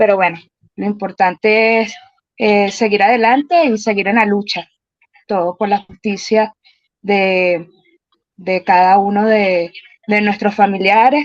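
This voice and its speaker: At a fairly slow pace, a woman of medium pitch speaks with fairly even intonation and long, frequent pauses. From Caracas, Venezuela. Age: 40s. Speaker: relative of a detainee, program participant. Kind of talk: video call self-introduction.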